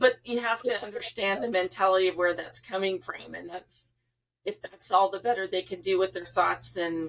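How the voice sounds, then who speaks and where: At a moderate pace, a normal speaking voice shows ordinary pitch variation and big swings in loudness. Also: woman, medium pitch for a woman. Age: 60s. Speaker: psychic medium and podcast host. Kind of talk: casual interview chat.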